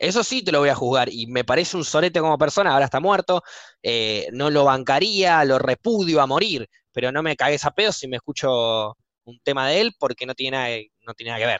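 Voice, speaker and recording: In a Buenos Aires accent, a man talks at a fairly quick pace and fairly high pitch with lively intonation. The sound is dry and close with no echo, over a quiet background. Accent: Rioplatense Spanish (Buenos Aires). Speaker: podcast host. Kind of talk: casual chat. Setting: live stream recording.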